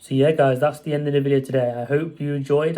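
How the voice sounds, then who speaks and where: The delivery is very fast, with a monotone, flat intonation. The tone is dark and mellow. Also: man. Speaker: mental health vlogger. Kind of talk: casual vlog monologue.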